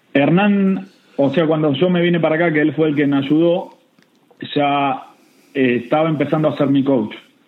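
In a Rioplatense accent, the speaker moves at a moderate pace with ordinary pitch variation and very even loudness, and audible room echo surrounds the voice. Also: man, fairly high pitch for a man. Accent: Argentine Rioplatense Spanish. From Argentina, Buenos Aires province. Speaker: golf coach. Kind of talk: interview. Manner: repetitive, halting.

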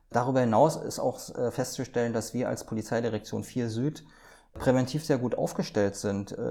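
This man speaks at a moderate pace in a medium pitch with ordinary pitch variation and a dark, mellow tone. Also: very clean recording, silent background. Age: 50s. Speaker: police prevention officer. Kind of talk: interview. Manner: hesitant with fillers.

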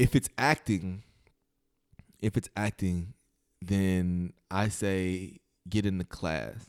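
A man with an American accent talks at a very slow pace with long, frequent pauses, a very deep, low pitch and ordinary pitch variation, in a dry, close sound with no echo. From southern Illinois / western Kentucky. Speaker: actor. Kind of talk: casual interview.

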